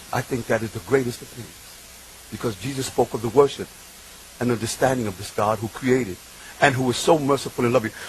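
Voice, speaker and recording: With a New York accent, a man of medium pitch speaks at a fairly quick pace over noticeable background noise. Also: big swings in loudness. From Bronx, New York, Puerto Rican family. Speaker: preacher. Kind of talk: religious talk. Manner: animated.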